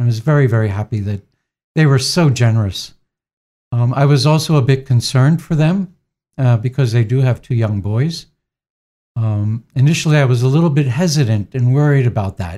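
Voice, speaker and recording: The man's medium-pitched voice is dark, mellow and somewhat breathy, with ordinary pitch variation, on a very clean recording with a silent background. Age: 60s. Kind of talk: interview. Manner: halting.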